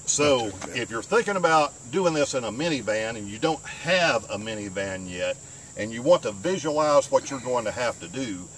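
A man talking at a moderate pace, dry sound with no echo, and light background noise. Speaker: van life vlogger. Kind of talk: tutorial. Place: car. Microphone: camera far.

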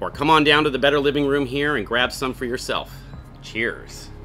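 A man talking at a fairly quick pace, with music in the background. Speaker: brewery host. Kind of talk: beer tasting presentation. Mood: friendly, upbeat. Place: garden.

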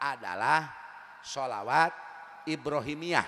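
A man talking at a very slow pace with a West Javanese accent. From West Java, Tasikmalaya. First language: Sundanese (speaking Indonesian). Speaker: Islamic preacher. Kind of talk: sermon. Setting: religious gathering with audience. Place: stage. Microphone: handheld.

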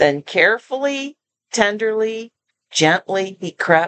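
Natural read-aloud voice with lively intonation over a quiet background

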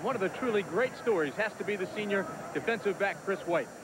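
Recorded with noticeable background noise and a dry sound with no echo, a man speaks at a high pitch. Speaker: sideline reporter. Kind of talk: live sports commentary, sideline report. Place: stadium. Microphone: handheld.

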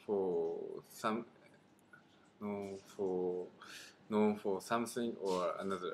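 In a Japanese accent, a man speaks at a very slow pace with long, frequent pauses, his fairly low voice monotone and flat over light background noise. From Niigata, Japan. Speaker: adult English learner. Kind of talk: scripted conversation practice reading. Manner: halting, with repetitions. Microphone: webcam.

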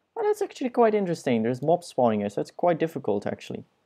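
Very fast male speech in a dark, mellow tone, with very wide pitch swings and a non-native accent. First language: not English. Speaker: gaming YouTuber. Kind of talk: let's play commentary. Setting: screen recording at home. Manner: self-deprecating, joking; casual, rambling.

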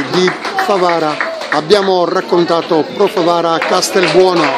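Loud background noise behind speech at a fairly slow pace. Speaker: sports commentator. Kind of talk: live sports commentary. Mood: solemn during minute's silence. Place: stadium. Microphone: phone near.

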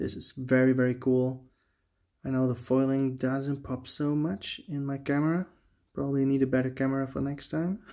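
Over a quiet background, a man with a medium-pitched voice and a dark, mellow tone speaks at a moderate pace with fairly even intonation. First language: not English. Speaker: Magic: The Gathering booster opener, YouTuber. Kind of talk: casual video commentary while opening card packs. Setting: home video, talking to camera. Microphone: phone near.

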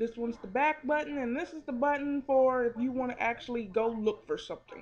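A loud, high-pitched woman's voice with ordinary pitch variation and light background noise. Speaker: phone reviewer. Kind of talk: product review. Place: home room. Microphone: webcam.

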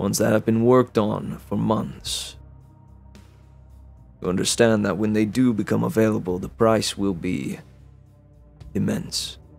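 A man performs in a put-on character voice. He leaves long, frequent pauses while faint music plays in the background. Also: fairly low pitch for a man, moderate pace. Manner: measured, secretive, cold.

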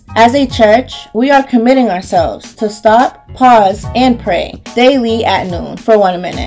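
A woman's fairly high voice at a fairly slow pace with hardly any pauses and ordinary pitch variation, over music in the background. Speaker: voice actor. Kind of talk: church announcement read. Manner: warm, friendly.

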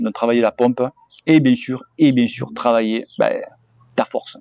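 At a moderate pace and medium pitch, a man speaks in a dry sound with no echo over a quiet background. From southwest France (Cahors); southwest France. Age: 40s. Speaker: cycling YouTuber. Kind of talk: Q&A answering viewer questions, casual. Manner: hesitant, many fillers. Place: garden. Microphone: phone near.

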